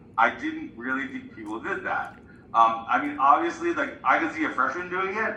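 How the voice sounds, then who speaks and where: At a moderate pace, a man speaks in a high pitch with very wide pitch swings, with audible room echo and noticeable background noise. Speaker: librarian. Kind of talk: class presentation.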